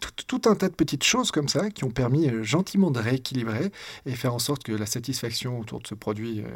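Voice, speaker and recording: The background is silent in this very clean recording. A man talks at a very fast pace. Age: 40s. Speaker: entrepreneur and investor. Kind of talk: interview conversation.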